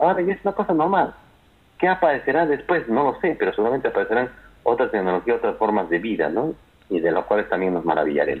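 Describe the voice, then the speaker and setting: A man speaks at a very fast pace. His loudness stays very even. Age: 40s. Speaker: university lecturer and lawyer. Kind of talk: interview.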